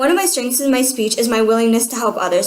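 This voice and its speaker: A woman with a fairly high pitch and ordinary pitch variation is heard with audible room echo and noticeable background noise. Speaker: student. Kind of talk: self-evaluation talk.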